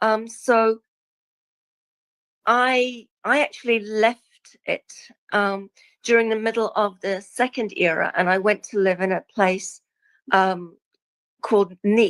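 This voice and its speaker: A woman with a New Zealand accent, fairly high pitch and fairly even intonation, very slow with long, frequent pauses, on a very clean, dry, close recording with no echo and a silent background. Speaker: guest speaker on past lives. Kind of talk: casual interview chat.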